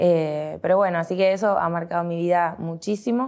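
A woman's dark, mellow tone at a moderate pace. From Argentina, Olavarría (Buenos Aires province). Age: 30s. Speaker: politician, provincial deputy candidate. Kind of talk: interview. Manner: halting, with frequent fillers and repetitions.

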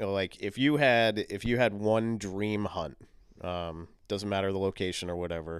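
A plain, everyday voice from a man with an American accent, fairly low in pitch and fairly even in intonation, on a very clean recording with a silent background. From US Northeast, southern Maine. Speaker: podcast host. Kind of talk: casual interview chat.

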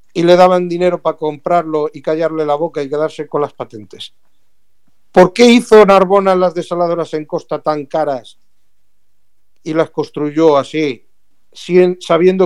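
A man has a plain, everyday voice, speaking at a moderate pace with a fairly high pitch and ordinary pitch variation. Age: 40s. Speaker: environmental activist and expert. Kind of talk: radio interview.

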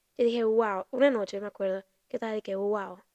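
A woman with a Dominican accent speaks at a fairly quick pace, her pitch fairly high and her tone dark and mellow. The sound is dry and close, with no echo. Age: 20s. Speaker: podcast host, university student. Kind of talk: casual monologue.

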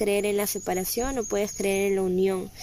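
A woman speaks with a dark, mellow, calm tone at a medium pitch. Her pace is moderate. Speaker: spiritual guide and podcast host. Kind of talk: motivational spiritual monologue. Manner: calm, serene.

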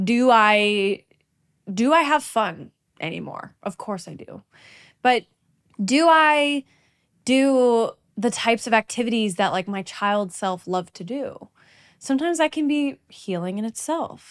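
In a very clean recording with a silent background, a woman with a fairly high pitch talks at a fairly slow pace in an animated tone, with lively intonation and long, frequent pauses. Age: 20s. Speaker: podcast host and jazz singer. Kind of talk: casual solo monologue. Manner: animated, laughing often.

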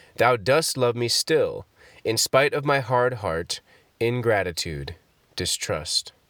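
A man's solemn voice at a very slow pace, in a dry, close sound with no echo. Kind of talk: fervent prayer read aloud from a Puritan devotional collection. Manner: solemn, reverent, earnest devotional cadence.

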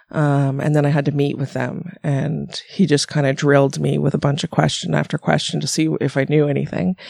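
Her speech comes at a fairly quick clip. Background noise is noticeable throughout. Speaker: massage therapist. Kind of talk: casual chat. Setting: studio.

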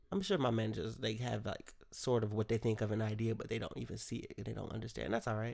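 A man's very fast, animated delivery with an American accent, medium pitch, vocal fry, and hardly any pauses. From Rochester, New York. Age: 20s. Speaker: podcast host. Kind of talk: casual solo monologue. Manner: rambling, animated.

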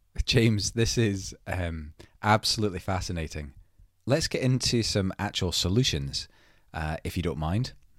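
The speaker uses lively intonation at a moderate pace. The recording is very clean with a silent background. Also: man, fairly low pitch for a man. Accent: Scottish. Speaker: podcast host. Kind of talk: interview conversation.

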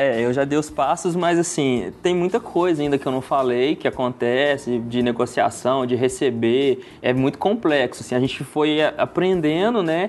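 In an unremarkable speaking voice, a man with a fairly high pitch talks at a moderate pace, with ordinary pitch variation and very even loudness. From Brazil, Birigui area (São Paulo state). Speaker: wedding videographer. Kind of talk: casual interview chat.

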